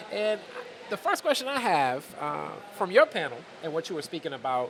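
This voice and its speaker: With an American accent, a man talks at a moderate pace over noticeable background noise. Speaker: podcast host and interviewer. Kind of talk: interview. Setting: conference.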